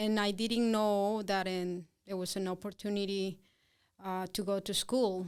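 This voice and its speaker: In a very clean recording with a silent background, a woman with a Peruvian accent speaks fairly slowly at a medium pitch in a flat monotone. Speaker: business owner. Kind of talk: interview. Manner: halting.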